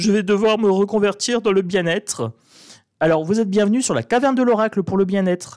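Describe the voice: In a northern French accent, a man with a high pitch speaks at a fairly quick pace, his tone slightly mellow and his pitch varying in an ordinary way.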